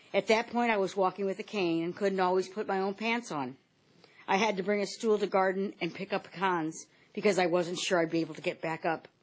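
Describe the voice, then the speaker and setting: A normal speaking voice with an American accent moves at a fairly quick pace with fairly even intonation, on a very clean recording with a silent background. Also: woman, medium pitch for a woman. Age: 60s. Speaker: patient giving testimony, substitute teacher. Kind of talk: testimony. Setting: Senate panel hearing room.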